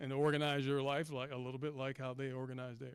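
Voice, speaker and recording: A man with an American accent, fairly high pitch and fairly even intonation on a very clean recording with a silent background. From US South, Mississippi. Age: 60s. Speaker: athletics director panelist. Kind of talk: panel discussion.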